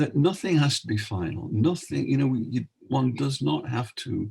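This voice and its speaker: A man's dark, mellow voice with lively intonation, vocal fry, and a fairly slow pace. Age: 70s. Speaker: retired minister and author. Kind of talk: casual chat.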